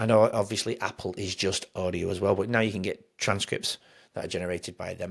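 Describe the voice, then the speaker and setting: On a very clean recording with a silent background, a man with a fairly low pitch talks at a fairly quick pace. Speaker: podcast host. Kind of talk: solo podcast monologue. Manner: fast; halting, self-correcting.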